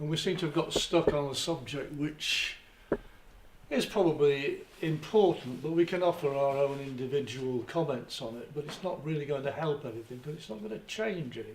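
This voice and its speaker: A man at a moderate pace, fairly high pitch, ordinary pitch variation and big swings in loudness, over noticeable background noise. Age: 70s. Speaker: retiree in audience. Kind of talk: public discussion.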